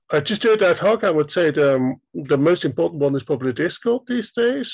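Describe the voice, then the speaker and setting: Talking at a fairly quick pace, a man with a fairly high pitch makes very wide pitch swings. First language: German. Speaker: indie game developer. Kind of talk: interview.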